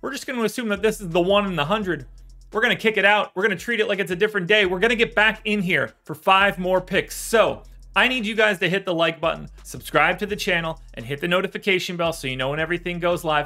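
Over faint background music, a man talks at a very fast pace in a raised, projected voice with ordinary pitch variation. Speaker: sports betting analyst. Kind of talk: commentary. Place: home room.

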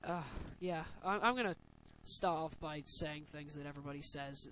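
The voice has a British accent and a bright, sharp tone. Its intonation stays fairly even. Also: man. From UK. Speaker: gaming commentator. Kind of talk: gameplay voiceover commentary. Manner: casual.

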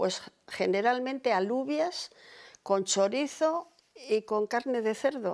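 A woman speaks against a quiet background. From Cantabria, Spain. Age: 80s+. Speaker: oral history interviewee; interviewee. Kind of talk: life story interview. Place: home room.

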